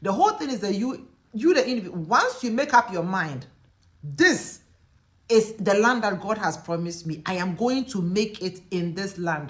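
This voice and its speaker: In a Ghanaian accent, a woman with a medium-pitched voice talks at a moderate pace, her tone animated and her intonation lively. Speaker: teacher and lecturer, video blogger. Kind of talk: casual vlog monologue.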